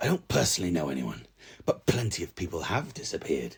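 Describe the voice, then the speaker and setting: Using a put-on character voice, a man speaks very fast with a raspy, anxious tone in a very deep, low pitch. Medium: read story. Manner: dreadful, anxious.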